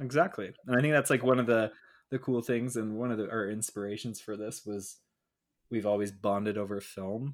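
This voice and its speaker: Using a plain, everyday voice, a man speaks at a fairly quick pace with medium pitch and fairly even intonation. The recording is very clean, with a silent background. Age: 20s. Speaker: podcast co-host. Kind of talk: casual chat.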